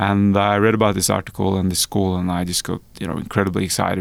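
Here is a man with a Norwegian accent and a fairly low pitch. His intonation is monotone and flat. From rural Norway. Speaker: venture capital founder. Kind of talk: interview.

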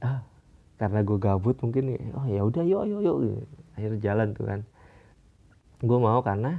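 A man's medium-pitched voice with lively intonation, a moderate pace, and long, frequent pauses. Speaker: podcast host. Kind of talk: casual monologue. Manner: halting, many fillers.

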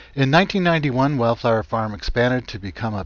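Over a quiet background, an ordinary speaking voice moves at a moderate pace with lively intonation. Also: man. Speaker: radio host. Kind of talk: radio interview. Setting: phone call.

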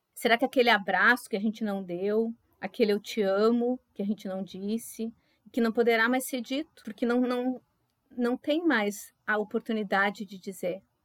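A woman with an unremarkable speaking voice and a fairly high pitch talks at a moderate pace with fairly even intonation, in a dry, close sound with no echo. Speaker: pharmacist and floral therapist, podcast co-host. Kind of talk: casual podcast chat.

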